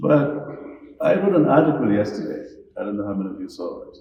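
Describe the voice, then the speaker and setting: Audible room echo surrounds a man as he talks. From Gambia. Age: 70s. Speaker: speaker on national affairs. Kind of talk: lecture.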